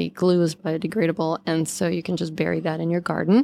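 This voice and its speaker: A woman talks at a fairly low pitch in a normal speaking voice. The recording is very clean, with a silent background. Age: 50s. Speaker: scientist and skincare company founder. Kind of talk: interview.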